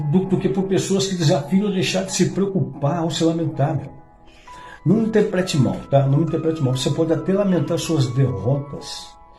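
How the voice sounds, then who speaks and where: A man talks moderately fast at a fairly high pitch with ordinary pitch variation, music playing in the background. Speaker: commercial announcer and TV presenter. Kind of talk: motivational religious talk. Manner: casual, conversational.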